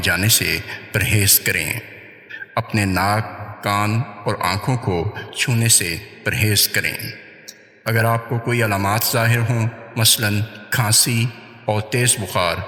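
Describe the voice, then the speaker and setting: Noticeable background noise sits behind a man with a fairly low pitch. His loudness stays very even and his intonation fairly even. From Pakistan. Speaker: voice over artist and audio editor. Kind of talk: public service announcement.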